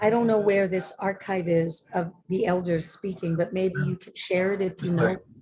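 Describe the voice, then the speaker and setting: A woman speaks at a moderate pace with hardly any pauses, her pitch medium and her intonation fairly even. It is an unremarkable speaking voice. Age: 50s. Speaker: webinar presenter. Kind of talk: interactive webinar.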